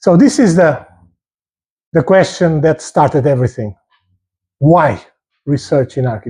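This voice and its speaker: Speaking at a moderate pace with long, frequent pauses, a man uses a fairly high, somewhat breathy voice with a dark, mellow tone and lively intonation. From Portugal. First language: Portuguese. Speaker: architecture professor. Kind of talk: lecture. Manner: hesitant, repeats words.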